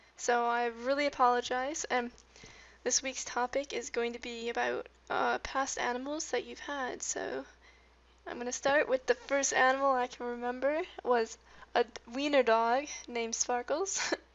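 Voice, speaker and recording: Mumbling, a woman speaks at a high pitch with fairly even intonation. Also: moderate pace. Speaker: gaming youtuber. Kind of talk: casual chat.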